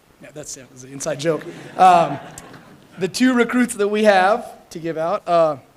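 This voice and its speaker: At a moderate pace, the speech has lively intonation and big swings in loudness, set against noticeable background noise. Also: man, high pitch for a man. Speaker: fire academy instructor. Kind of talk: ceremony speech. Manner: casual, halting with fillers.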